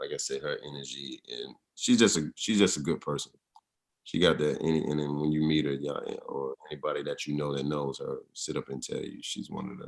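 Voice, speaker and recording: A man in a Southern US accent talks with big swings in loudness. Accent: Southern Atlanta drawl. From US South, Atlanta (College Park), Georgia. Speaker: actor and model. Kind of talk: interview. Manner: casual, halting with fillers.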